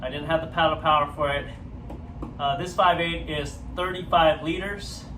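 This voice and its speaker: Amid noticeable background noise and audible room echo, a man speaks at a moderate pace in a fairly high, monotone, flat voice. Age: 40s. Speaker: surfing vlogger. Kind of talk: casual review. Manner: loud. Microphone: no microphone, camera audio.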